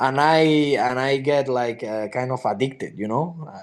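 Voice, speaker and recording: Against a quiet background, a man with a Spanish accent speaks at a moderate pace in a medium pitch with ordinary pitch variation. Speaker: MMA fighter. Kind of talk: interview. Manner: halting.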